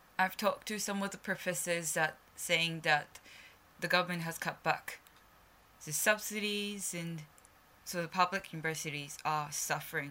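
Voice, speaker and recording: A bright, sharp voice in a Japanese accent, at a moderate pace with fairly even intonation. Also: woman, fairly low pitch for a woman. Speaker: journalist and podcast host. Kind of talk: solo news commentary podcast.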